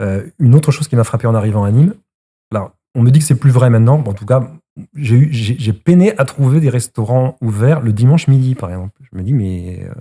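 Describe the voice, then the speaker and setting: A man's dark, mellow, somewhat breathy voice at medium pitch and a moderate pace, with ordinary pitch variation. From Brittany, France. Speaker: citizen, local Facebook page creator. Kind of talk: casual discussion. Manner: halting, many repetitions.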